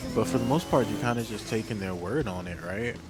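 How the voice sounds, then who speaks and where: Music plays in the background as a soft-spoken man talks. His pace is fairly quick, and his pitch varies in an ordinary way. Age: 20s. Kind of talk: casual unscripted talk to camera.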